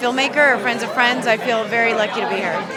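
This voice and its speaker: Over crowd noise and audible room echo, a woman talks very fast in a high pitch with fairly even intonation. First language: Spanish. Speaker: actress. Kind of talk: red carpet interview. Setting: red carpet at film festival.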